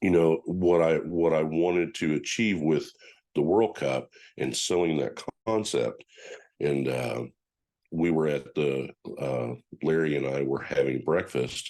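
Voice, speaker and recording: A man with an American accent, his pitch very deep and low, ordinary pitch variation, a fairly slow pace, and long, frequent pauses. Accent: country accent, self-described. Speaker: powerlifting federation official. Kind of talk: podcast interview. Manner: halting, many repetitions and fillers.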